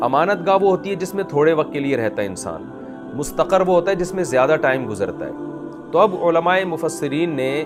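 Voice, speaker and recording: With music in the background, a man speaks at a moderate pace in a high voice with ordinary pitch variation. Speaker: Islamic scholar giving a sermon. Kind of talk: Islamic sermon (bayan) explaining Quranic verses.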